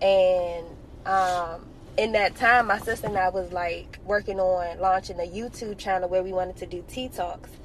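A woman with a plain, everyday voice speaks at a medium pitch and moderate pace, her intonation fairly even. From Washington, D.C. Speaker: entrepreneur and realtor. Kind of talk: podcast interview.

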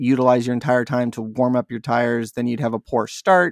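The recording is very clean, with a silent background and a dry, close sound with no echo. A man speaks at a medium pitch with an American accent. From US West Coast, San Diego. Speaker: video game podcaster. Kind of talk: casual chat. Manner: halting, frequent repetitions.

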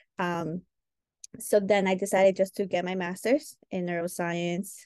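With a plain, everyday voice, a woman speaks at a moderate pace in a medium pitch with ordinary pitch variation. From Peru, raised in New York from age five. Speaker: behavior analyst. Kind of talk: interview.

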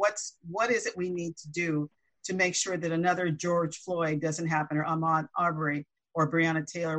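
A plain, everyday voice from a woman with an American accent, at a fairly low pitch and a fairly quick pace, with fairly even intonation. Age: 60s. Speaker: panelist. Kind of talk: panel discussion.

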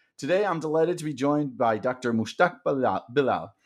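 Lively in intonation and fairly high for a man, his is an ordinary speaking voice. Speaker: podcast host and company founder. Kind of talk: interview conversation.

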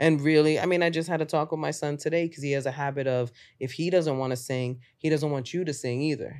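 With a New York accent, a woman talks very fast in a very deep, low voice, with fairly even intonation, hardly any pauses, and a very clean recording over a silent background. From Bronx, New York. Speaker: stand-up comedian. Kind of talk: casual chat. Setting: podcast interview.

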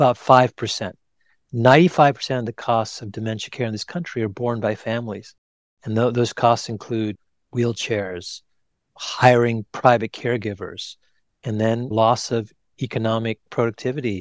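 A man with a normal speaking voice talks at a moderate pace and medium pitch, his intonation fairly even, in a very clean recording with a silent background and a dry, close sound with no echo. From US, Indian immigrant family. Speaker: cardiologist and author. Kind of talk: casual interview.

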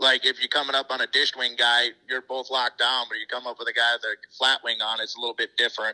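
Speaking very fast with hardly any pauses, a man with an American accent comes across in a dry, close sound with no echo. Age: 50s. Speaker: sprint car racer. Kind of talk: casual chat.

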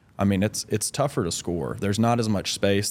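A man speaks in an ordinary speaking voice, fairly low in pitch, at a fairly quick pace. His pitch varies in an ordinary way, and the recording is very clean with a silent background. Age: 30s. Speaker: pro basketball player. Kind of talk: interview. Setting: studio.

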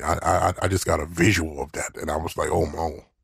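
A man speaks at a very deep, low pitch, somewhat breathy and monotone with flat intonation. The recording is very clean, with a silent background. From US South, Mississippi. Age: old. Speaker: podcast guest. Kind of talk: casual chat.

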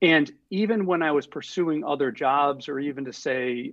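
With an American accent and lively intonation, the speaker has an unremarkable speaking voice. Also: man. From US Northeast, Rhode Island (Providence). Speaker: screenwriter and filmmaker. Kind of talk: interview, live stream Q&A.

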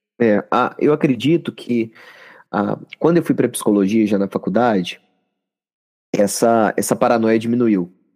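A man speaks at a moderate pace in a medium pitch, with ordinary pitch variation. His loudness stays very even, broken by long, frequent pauses. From Minas Gerais, Brazil. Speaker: psychologist. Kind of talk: interview. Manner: halting.

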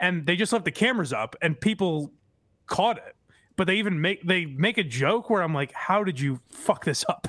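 Lively, high-pitched male speech at a moderate pace. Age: 30s. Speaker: podcast co-host. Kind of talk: casual chat.

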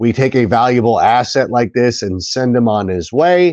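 An ordinary speaking voice from a man with an American accent, medium in pitch and lively in intonation. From Southern California. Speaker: sports podcast host. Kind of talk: casual chat.

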